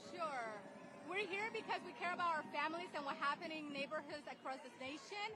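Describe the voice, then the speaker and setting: A woman's raised, projected voice, high in pitch with ordinary pitch variation, at a fairly quick pace over noticeable background noise. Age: 40s. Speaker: protester, social worker. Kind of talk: street interview. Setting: outdoors at a protest march.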